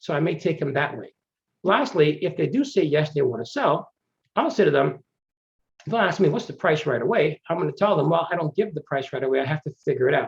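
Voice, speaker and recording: The speaker is a man with a normal speaking voice and fairly high pitch. He talks fairly quickly, with ordinary pitch variation. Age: 50s. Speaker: real estate investor. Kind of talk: webinar presentation.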